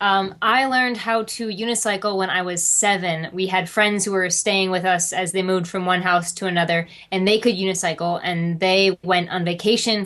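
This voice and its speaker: Over noticeable background noise, a woman speaks at a medium pitch and a moderate pace with fairly even intonation. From US Midwest. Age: 20s. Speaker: family circus performer, unicyclist. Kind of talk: interview.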